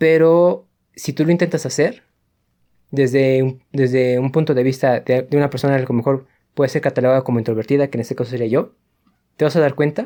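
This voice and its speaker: A man's fairly high, dark and mellow voice at a fairly quick pace with fairly even intonation, on a very clean recording with a silent background. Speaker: podcast co-host, university student. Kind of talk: casual chat.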